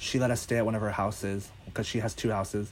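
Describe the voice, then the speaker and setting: Speaking in a normal speaking voice with an American accent, a man keeps a fairly quick pace, a fairly low pitch and fairly even intonation. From US East Coast, Northern Virginia. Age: 20s. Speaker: social media creator and photographer. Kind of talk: casual chat.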